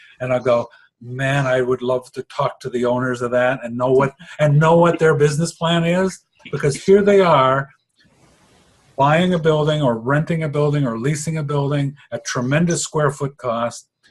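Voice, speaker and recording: A man's somewhat breathy voice, fairly high-pitched, with ordinary pitch variation at a moderate pace. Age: 60s. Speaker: interviewee, retired tradesman and businessman. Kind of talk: interview.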